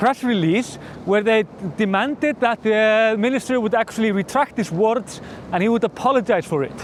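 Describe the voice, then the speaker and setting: Against noticeable background noise, a man with an Icelandic accent speaks at a moderate pace in a high voice with ordinary pitch variation. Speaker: newspaper editor-in-chief. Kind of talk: casual news commentary to camera.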